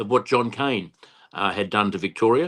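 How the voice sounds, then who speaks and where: Very fast speech from a man with an Australian accent, fairly low in pitch with ordinary variation, over a quiet background. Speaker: political candidate. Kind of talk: interview. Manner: halting.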